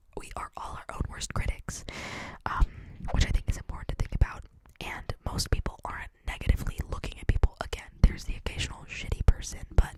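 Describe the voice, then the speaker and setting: A woman whispers at a fairly quick pace, her loudness swinging widely. Noticeable background noise runs underneath. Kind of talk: ASMR whisper ramble to camera. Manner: whispered, clicky, intimate; casual, chatty, conversational.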